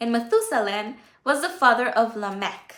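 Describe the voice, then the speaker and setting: A woman's bright, sharp tone at a high pitch, with lively intonation, a fairly slow pace and audible room echo. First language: Spanish. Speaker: Bible teacher on livestream. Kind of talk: Bible study livestream. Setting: livestream. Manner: halting.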